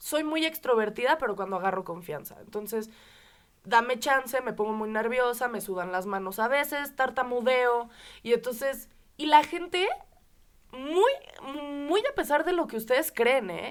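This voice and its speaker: A woman's high, animated voice with a Mexican accent, lively intonation and a moderate pace, broken by long, frequent pauses, on a very clean recording with a silent background. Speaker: podcast co-host. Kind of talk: casual podcast conversation.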